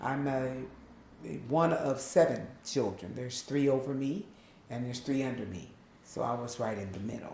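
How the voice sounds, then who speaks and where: A woman with a very deep, low pitch and ordinary pitch variation, at a moderate pace with long, frequent pauses, big swings in loudness and audible room echo. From Long Beach, California, Southern family roots. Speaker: interviewee sharing life story. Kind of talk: interview testimony.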